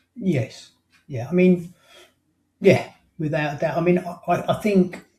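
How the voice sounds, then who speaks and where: A man's high-pitched, dark and mellow voice in an English accent, fairly slow in pace, with big swings in loudness and ordinary pitch variation. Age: 60s. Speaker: life coach and hypnotherapist. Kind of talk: interview. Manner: halting.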